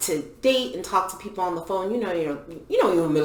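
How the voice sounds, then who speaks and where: A woman speaks with audible room echo. Noticeable background noise is present too. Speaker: podcast co-host. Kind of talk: casual chat.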